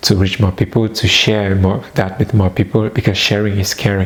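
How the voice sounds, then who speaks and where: A man with a non-native accent, fairly low pitch and fairly even intonation, against noticeable background noise. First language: not English. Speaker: personal development vlogger. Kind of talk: personal testimony.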